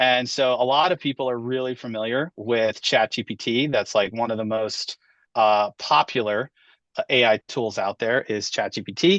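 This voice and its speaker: Male voice at medium pitch and a moderate pace, ordinary pitch variation, dry and close with no echo, over a quiet background. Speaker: education technology trainer, former teacher. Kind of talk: webinar presentation. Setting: video call webinar.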